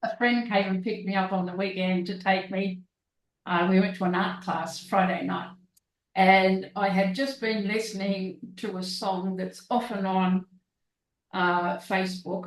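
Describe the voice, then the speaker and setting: Somewhat breathy, a woman speaks with an Australian accent in a monotone, flat intonation. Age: 70s. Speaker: guest, artist and author. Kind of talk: casual chat.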